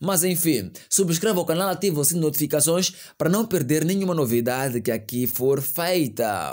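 Lively intonation and an animated tone come at a moderate pace. The background is quiet. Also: man, fairly high pitch for a man. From Mozambique. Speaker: news commentary youtuber. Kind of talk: online news commentary. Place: home room. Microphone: studio mic.

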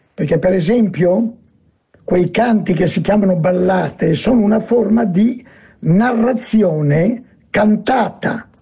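Against a quiet background, the voice goes at a very slow pace with ordinary pitch variation and very even loudness. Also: man, high pitch for a man. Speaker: speaker. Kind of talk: lecture. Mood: calm, expressive storytelling tone. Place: home room. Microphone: webcam.

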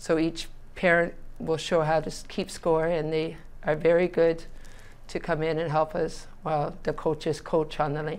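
Her voice sits fairly low in pitch for a woman. She talks at a moderate pace. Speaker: local youth bowling coach. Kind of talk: interview answer. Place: studio. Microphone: lapel.

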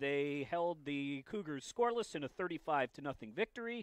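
Over a quiet background, a man talks at a moderate pace with a dry sound with no echo. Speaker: sports play-by-play announcer. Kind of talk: commentary. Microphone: headset.

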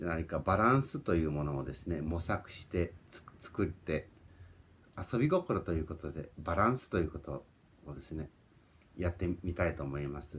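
A man with a very deep, low pitch and a somewhat breathy voice speaks at a moderate pace, with ordinary pitch variation, big swings in loudness and long, frequent pauses. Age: 40s. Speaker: YouTuber. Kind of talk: personal vlog monologue. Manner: polite, repetitive with fillers. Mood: warm, reflective, smiling. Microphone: phone near.

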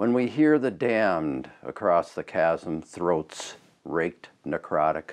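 A man with a fairly low pitch speaks at a very slow pace, his pitch swinging very widely. The background is quiet. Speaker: spoken word poet. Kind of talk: spoken word poetry performance. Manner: passionate. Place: studio. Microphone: lapel.

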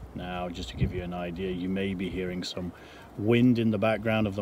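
A man with a fairly low pitch speaks in a normal speaking voice at a moderate pace with fairly even intonation. The sound is dry with no echo, with light background noise. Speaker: RV owner vlogger. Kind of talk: casual vlog chat. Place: open country. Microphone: phone near.

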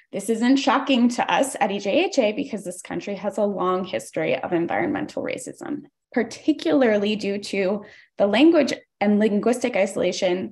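Against a quiet background, a woman with a fairly high pitch talks in a somewhat breathy voice with lively intonation. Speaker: environmental justice organizer; public commenter for advocacy group. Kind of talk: public hearing testimony. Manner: fast. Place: home room. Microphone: video call.

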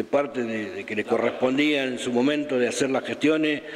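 A man speaks at a fairly quick pace. His intonation is fairly even. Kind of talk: interview answer. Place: office. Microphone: handheld.

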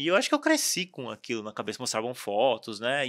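The background stays quiet. A man talks with vocal fry. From Brazil, São Bernardo do Campo, São Paulo; São Paulo, Brazil. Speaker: tattoo artist; podcast guest. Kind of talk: casual interview chat. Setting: studio. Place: studio. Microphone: studio mic.

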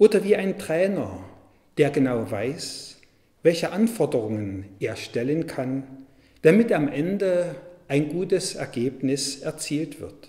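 A man speaks at a very slow pace in a fairly high pitch, his dark, mellow tone edged with vocal fry. His pitch swings very widely against a quiet background. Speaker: Lutheran pastor. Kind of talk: church devotional / sermon reading. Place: church.

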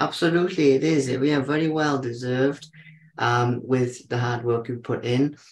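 At a moderate pace, a man talks with a medium pitch and fairly even intonation. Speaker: podcast host. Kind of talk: casual interview. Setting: video call. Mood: warm, admiring. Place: home room. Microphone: video call.

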